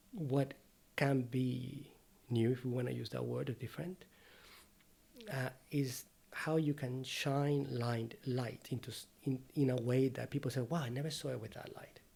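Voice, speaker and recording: His voice has a dark, mellow tone and is somewhat breathy. The man keeps a fairly even intonation. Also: medium pitch for a man. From Venezuela. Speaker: painter and art teacher. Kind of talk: casual interview conversation. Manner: fast.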